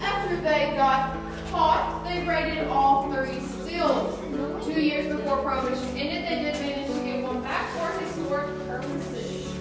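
Against loud music in the background and audible room echo, a woman speaks at a moderate pace. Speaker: cave tour guide. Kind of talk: guided tour narration. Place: tunnel cave. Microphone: camera far.

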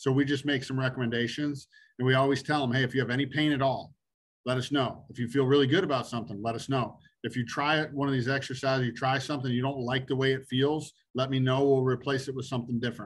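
A somewhat breathy man at a medium pitch and a very fast pace, with flat, monotone intonation and a quiet background. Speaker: high school baseball coach. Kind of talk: live Q&A on a video call. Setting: video call. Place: home room. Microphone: video call.

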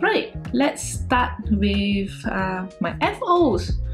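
A woman's voice comes through with clear music in the background. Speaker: knitting podcaster. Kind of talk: casual vlog chat. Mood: warm, grateful, smiling. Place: home room.

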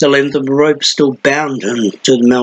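Fairly even intonation in a natural reading voice

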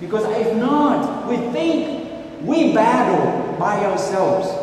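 A man's high-pitched voice at a very slow pace with very wide pitch swings, strong room echo and light background noise. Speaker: priest giving homily. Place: church. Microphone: camera far.

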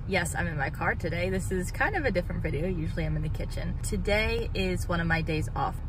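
The speech moves at a very fast pace. The sound is dry with no echo, and background noise is noticeable. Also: woman. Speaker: home baker vlogger. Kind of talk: casual vlog chat. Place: car. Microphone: phone near.

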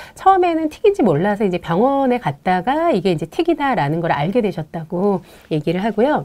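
The voice has a dark, mellow tone and moves through very wide pitch swings. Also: woman, fairly quick pace. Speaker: play therapist. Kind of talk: live parenting Q&A. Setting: studio live stream. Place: studio. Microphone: lapel.

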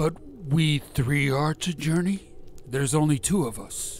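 Against clear background noise, a man talks at a moderate pace in a fairly high pitch. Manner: blunt, hearty.

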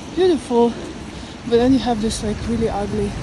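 Noticeable background noise fills the recording. A woman talks with fairly even intonation. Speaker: vlogger. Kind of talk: casual vlog chat. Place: street. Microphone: phone near.

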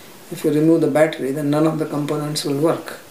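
Light background noise and audible room echo surround a man speaking at a fairly high pitch. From India, Haryana. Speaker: spiritual teacher. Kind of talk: interview. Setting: private flat. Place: home room.

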